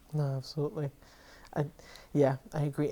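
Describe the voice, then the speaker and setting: Speaking at a moderate pace, a woman has a very deep, low pitch and a dark, mellow tone. She talks with an American accent. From Florida (born New York). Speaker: podcast co-host. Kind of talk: casual interview chat.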